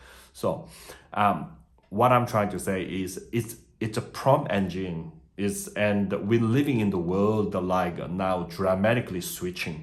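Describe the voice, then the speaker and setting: With a non-native accent, a man talks at a fairly slow pace and a fairly low pitch with ordinary pitch variation, and audible room echo. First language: not English. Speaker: migration agent. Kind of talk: video tutorial. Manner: halting, many fillers.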